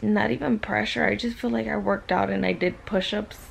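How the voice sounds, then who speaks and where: A woman talks while light noise sits in the background. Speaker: vlogger after surgery. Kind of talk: casual vlog chat. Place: home room. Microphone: phone near.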